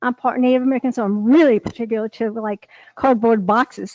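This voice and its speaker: Moderate-paced speech from a woman. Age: 60s. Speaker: resident speaking at public hearing. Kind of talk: public comment. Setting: town board meeting.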